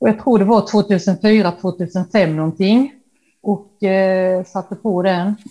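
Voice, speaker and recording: At a very slow pace, a woman talks at a medium pitch with a dark, mellow tone and fairly even intonation, in a very clean recording with a silent background. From Halmstad, Sweden. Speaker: painter inspired by Dylan. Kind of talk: casual interview chat.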